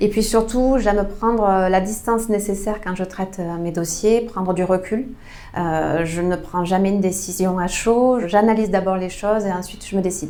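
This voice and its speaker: A woman at a medium pitch with a southwestern French accent, moderate pace and fairly even intonation, amid noticeable background noise and audible room echo. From southwest France, Tarn (Albi). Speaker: member of parliament. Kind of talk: interview. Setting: her constituency office. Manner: hesitant, many fillers.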